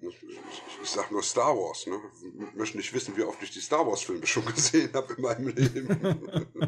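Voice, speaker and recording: A man at a moderate pace with big swings in loudness, over noticeable background noise. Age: 50s. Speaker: film critic and podcaster. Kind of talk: casual chat.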